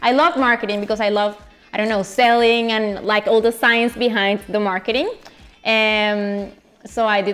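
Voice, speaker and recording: Ordinary pitch variation accompanies a moderate pace. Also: woman. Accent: Colombian. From Colombia. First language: Spanish. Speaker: chef and food influencer. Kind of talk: interview. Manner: halting, with many fillers and repetitions.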